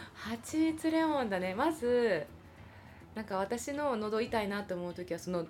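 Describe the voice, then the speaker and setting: With a Kansai accent, a woman talks at a moderate pace and a fairly high pitch. Her pitch swings very widely. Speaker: podcast host, theatre performer. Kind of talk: casual chat. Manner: animated.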